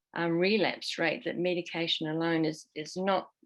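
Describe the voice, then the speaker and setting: A woman talks with a fairly low pitch. Her pace is moderate. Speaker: somatic practitioner in addiction recovery. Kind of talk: panel discussion. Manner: halting, many fillers.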